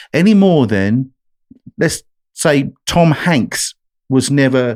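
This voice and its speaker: A voice with an English accent comes through on a very clean recording with a silent background. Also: man. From England, London. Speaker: country singer-songwriter. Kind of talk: podcast interview.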